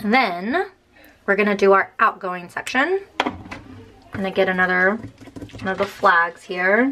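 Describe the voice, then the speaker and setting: Noticeable background noise sits behind a woman speaking at a fairly slow pace. Her pitch is medium, and she takes long, frequent pauses. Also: ordinary pitch variation. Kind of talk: casual talk to camera.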